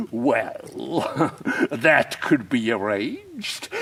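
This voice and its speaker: A man performs a put-on character voice at medium pitch. He speaks at a very slow pace. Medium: read story. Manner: ingratiating, overly polite.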